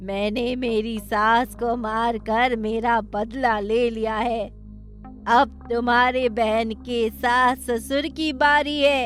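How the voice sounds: In a cartoonish character voice, a female-sounding speaker talks at a very slow pace and fairly high pitch over clear background music.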